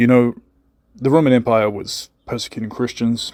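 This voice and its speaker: Recorded very cleanly against a silent background, a man with a New Zealand accent talks at a fairly slow pace, with fairly even intonation and a medium pitch. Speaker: conspiracy channel host. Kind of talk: recorded voice message. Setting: voice message.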